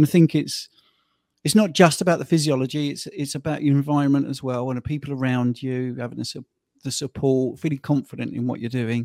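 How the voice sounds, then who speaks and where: In a British accent, a man talks at a fairly quick pace with ordinary pitch variation, the sound dry and close with no echo. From UK. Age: 50s. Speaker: health coach. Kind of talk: interview. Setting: video call.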